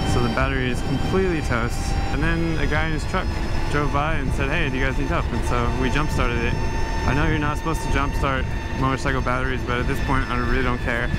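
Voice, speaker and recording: The speech moves at a very fast pace over loud background noise. The sound is dry, with no echo. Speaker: motorcycle travel vlogger. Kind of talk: casual vlog chat. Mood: frustrated, fed up. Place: motorbike.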